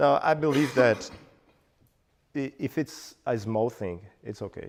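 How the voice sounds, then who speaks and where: A man is speaking. He has a Portuguese accent. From Brazil, Bahia. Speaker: meetup speaker, frontend developer. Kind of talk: Q&A after talk.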